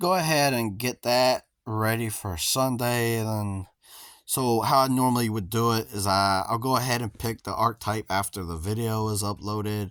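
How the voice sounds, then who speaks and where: A normal speaking voice at a moderate pace, with ordinary pitch variation, on a very clean recording against a silent background. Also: man, medium pitch for a man. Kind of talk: casual gameplay commentary.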